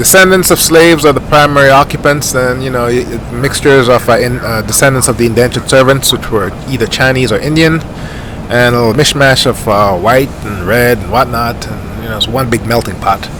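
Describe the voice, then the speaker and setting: A man's relaxed, medium-pitched voice, ordinary pitch variation, a fairly quick pace, and noticeable background noise. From Jamaica. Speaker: flight sim YouTuber. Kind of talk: gameplay commentary. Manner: casual, relaxed.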